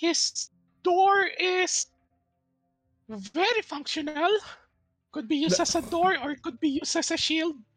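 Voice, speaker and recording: A man does a put-on character voice at an extremely high pitch. He keeps a moderate pace with long, frequent pauses. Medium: actual play. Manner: casual, chatty.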